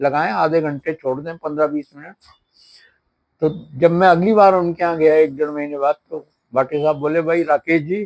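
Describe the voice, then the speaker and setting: In a dry, close sound with no echo, a man talks with fairly even intonation. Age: 70s. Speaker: shopkeeper. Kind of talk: testimony.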